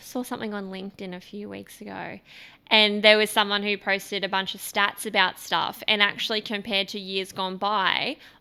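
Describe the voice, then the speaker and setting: Here a woman with an Australian accent has a bright, sharp tone and monotone, flat intonation. She speaks at a moderate pace on a very clean recording with a silent background. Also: medium pitch for a woman. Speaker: podcast host. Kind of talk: casual chat.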